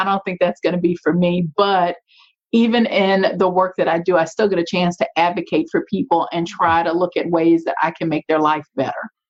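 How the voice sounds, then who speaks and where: With a Louisiana accent, a woman talks at a fairly quick pace in a medium-pitched voice with ordinary pitch variation. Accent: Louisiana Southern. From US South, Shreveport, Louisiana. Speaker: nonprofit and community leader. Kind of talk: interview.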